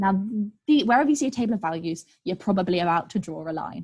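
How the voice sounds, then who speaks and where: Her voice somewhat breathy, a woman speaks at a very fast pace and medium pitch with lively intonation. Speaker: maths tutor. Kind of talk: online group tutorial. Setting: live online session. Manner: energetic.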